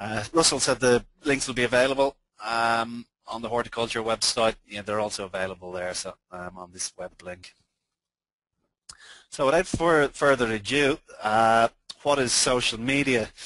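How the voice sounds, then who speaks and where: A man with an Irish accent speaks at a medium pitch and a moderate pace, using ordinary pitch variation and big swings in loudness. The recording is dry and close with no echo, and the background is quiet. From Ireland. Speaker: social media consultant. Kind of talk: webinar presentation. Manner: halting, many fillers.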